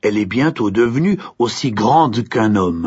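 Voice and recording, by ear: Reading aloud in a natural voice with lively intonation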